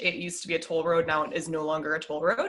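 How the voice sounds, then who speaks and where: A woman speaks with a fairly low pitch and a slight Midwestern accent. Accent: slight Midwest. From US Midwest, Minnesota. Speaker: podcast guest, podcast host. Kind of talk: casual interview chat.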